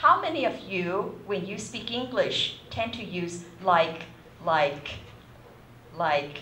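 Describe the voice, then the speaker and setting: A woman talks very slowly, her words echoing audibly off the room amid noticeable background noise. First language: not English. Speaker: university lecturer. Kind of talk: lecture. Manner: hesitant, many fillers.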